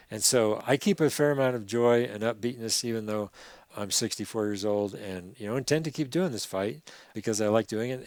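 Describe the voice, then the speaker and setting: The man has an unremarkable speaking voice at a medium pitch. He talks at a fairly quick pace with ordinary pitch variation. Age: 60s. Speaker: river conservation activist. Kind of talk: podcast interview.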